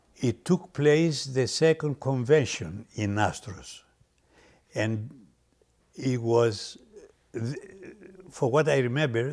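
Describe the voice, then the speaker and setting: Very slow, somewhat breathy delivery with ordinary pitch variation. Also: man. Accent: Greek. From Greece. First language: Greek. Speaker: restaurant owner. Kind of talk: personal reminiscence interview. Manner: halting.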